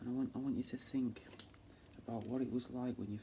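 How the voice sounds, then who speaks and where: A soft-spoken man with a Manchester accent has a dark, mellow, somewhat breathy tone and monotone, flat intonation. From England. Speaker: taxidermist. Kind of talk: ASMR.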